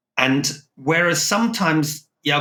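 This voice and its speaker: A man talks with a slight non-native accent. Vocal fry runs through his voice. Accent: near-English, slight foreign. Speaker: logistics consultant, podcast host. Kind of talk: business podcast discussion.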